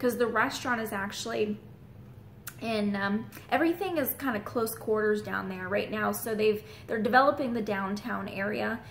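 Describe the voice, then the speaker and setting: Amid noticeable background noise, a woman speaks at a fairly high pitch with ordinary pitch variation. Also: moderate pace. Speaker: real estate agent. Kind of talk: vlog.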